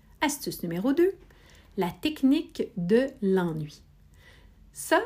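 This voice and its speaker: A woman's somewhat breathy voice with a dark, mellow tone, on a very clean recording with a silent background. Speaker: podcast host. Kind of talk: scripted narration; casual chat.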